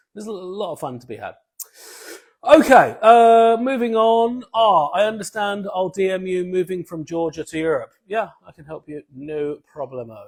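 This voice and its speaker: Lively intonation and an animated tone mark a man with a British accent, speaking at a moderate pace with a high pitch. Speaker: travel points influencer. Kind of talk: live stream Q&A.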